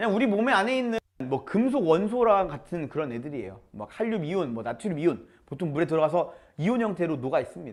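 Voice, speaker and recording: Very wide pitch swings in a man's high voice, delivered at a very fast pace. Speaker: science teacher. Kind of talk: lecture. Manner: casual, mixing polite and informal speech.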